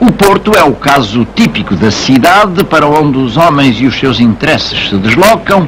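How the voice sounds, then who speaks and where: With very wide pitch swings, a man talks at a moderate pace while noticeable background noise plays behind him. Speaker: voice-over narrator. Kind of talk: documentary narration, historical voice-over.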